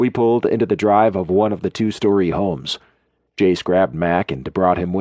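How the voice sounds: Reading is done in a natural reading voice. Little sound comes from the background, which stays quiet.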